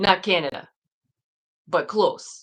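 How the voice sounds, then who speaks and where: A woman is talking. She speaks with an American accent. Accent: northern US, Southern accent comes and goes. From northern US and US South. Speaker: livestream host. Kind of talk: casual chat. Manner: chatty, halting with fillers.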